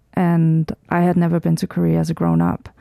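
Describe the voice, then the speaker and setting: A woman speaks with a Danish accent. The sound is dry and close, with no echo. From Denmark, rural countryside. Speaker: documentary filmmaker. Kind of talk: radio interview.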